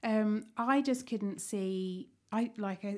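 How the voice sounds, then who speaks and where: A very clean recording with a silent background, the intonation fairly even throughout. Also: woman. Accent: southern English. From Kent, England. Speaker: cafe owner. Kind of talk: casual chat. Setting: studio.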